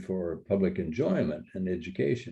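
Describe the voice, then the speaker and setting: A dark, mellow tone is paired with a fairly slow pace. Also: man. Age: 80s+. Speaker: retired park ranger naturalist. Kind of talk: interview. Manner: halting, many fillers.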